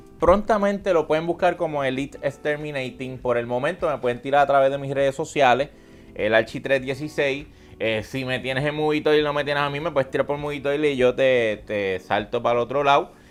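A man speaks at a fairly high pitch. Music plays in the background. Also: ordinary pitch variation. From Puerto Rico, Aguadilla. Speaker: content creator and entrepreneur. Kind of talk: casual interview. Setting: live stream studio with audience.

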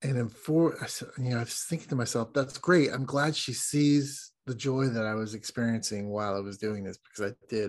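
A man with an American accent talks at a fairly quick pace with hardly any pauses. He has an ordinary speaking voice at medium pitch with ordinary pitch variation. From United States. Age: 50s. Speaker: guest, traveler who took an adult gap year. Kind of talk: casual interview.

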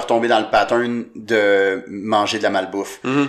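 A man speaks at a fairly slow pace with a Quebec accent. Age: 20s. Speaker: comedian. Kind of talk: casual chat.

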